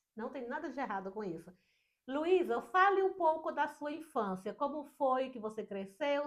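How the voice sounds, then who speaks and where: A woman speaks at a fairly slow pace. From Brazil, Northeast. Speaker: podcast host. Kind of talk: casual interview.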